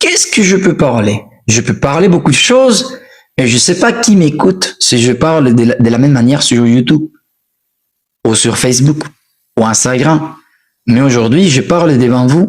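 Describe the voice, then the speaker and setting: With an animated tone and very wide pitch swings, a man talks at a fairly slow pace, leaving long, frequent pauses. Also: very even loudness. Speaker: French teacher. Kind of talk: live stream language lesson. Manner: repetitive, animated.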